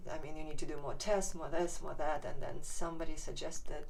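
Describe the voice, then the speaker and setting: Audible room echo surrounds a woman speaking at a fairly quick pace in a Ukrainian accent. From Ukraine. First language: Ukrainian or Russian. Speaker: patient sharing her story. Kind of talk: testimony. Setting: inside a hyperbaric chamber. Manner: halting.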